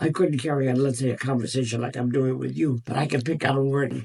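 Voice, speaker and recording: A man speaks with an American accent at a medium pitch and ordinary pitch variation. His tone is dark and mellow, and somewhat breathy. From United States. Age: 80s+. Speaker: World War Two veteran. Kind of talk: interview answer.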